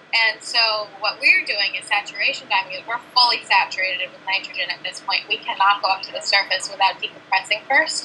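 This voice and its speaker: A woman with a medium pitch and ordinary pitch variation talks at a fairly quick pace with hardly any pauses, over noticeable background noise. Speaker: aquanaut marine science researcher. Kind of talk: interview. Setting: video call from underwater habitat.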